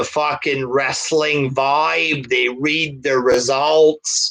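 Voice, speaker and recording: A man with a strong French Canadian accent speaks with fairly even intonation. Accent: heavy French Canadian. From Quebec. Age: 30s. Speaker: wrestling reviewer. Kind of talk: casual live stream chat. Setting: live stream.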